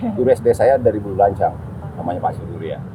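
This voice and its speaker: A man rattles along at a very fast pace while noticeable background noise plays. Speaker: activist and discussion speaker. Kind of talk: group discussion talk. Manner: casual, conversational.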